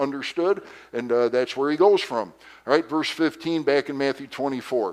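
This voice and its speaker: Moderate pace and ordinary pitch variation in a plain, everyday voice. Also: man, fairly high pitch for a man. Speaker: pastor. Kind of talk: Sunday school lesson.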